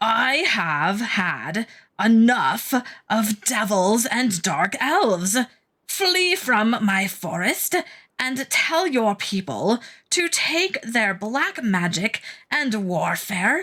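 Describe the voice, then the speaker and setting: Using a put-on character voice, a woman speaks at a very slow pace with a fairly high pitch, very wide pitch swings and very even loudness. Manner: angry.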